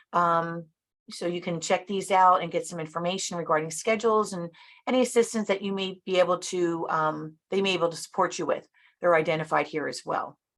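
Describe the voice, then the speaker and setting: A woman at a fairly quick pace with fairly even intonation. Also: fairly low pitch for a woman. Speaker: government customer service director. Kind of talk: webinar presentation. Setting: virtual event. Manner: fast.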